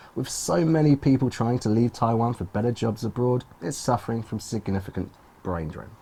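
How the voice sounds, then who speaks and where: The speech comes in a British accent at a fairly quick pace. Pitch variation is ordinary. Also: man. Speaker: English pronunciation teacher. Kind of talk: clear model reading for learners.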